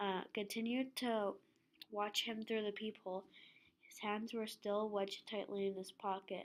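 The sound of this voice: An unforced reading voice carries the whole clip.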